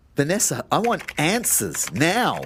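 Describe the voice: A man puts on a character voice at a fairly high pitch, with a fairly bright tone and a slightly husky edge. He moves at a fairly slow pace while his pitch swings very widely.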